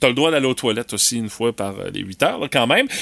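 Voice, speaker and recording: A man with a Quebec accent, heard in a dry, close sound with no echo over noticeable background noise. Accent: Québécois French. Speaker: radio morning show host. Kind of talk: casual radio chat. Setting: radio studio.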